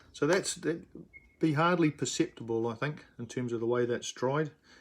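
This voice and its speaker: A man with a New Zealand accent speaks at a fairly quick pace. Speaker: miniature figure painter. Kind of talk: live-streamed painting tutorial. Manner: hesitant with fillers.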